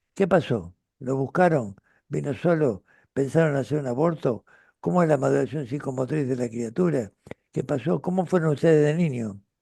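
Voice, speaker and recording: With an Argentine accent, a man speaks at a fairly high pitch, his dark, mellow tone carried by lively intonation. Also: moderate pace. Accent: Rioplatense Argentine Spanish. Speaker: retired pediatrician and author. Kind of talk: interview conversation. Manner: halting with fillers.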